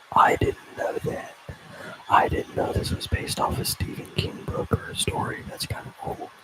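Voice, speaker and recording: Noticeable background noise surrounds whispering that moves at a moderate pace. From Tennessee, Upper Cumberland. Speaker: ASMR livestreamer. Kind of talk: casual live stream chat. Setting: live stream. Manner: halting when reading.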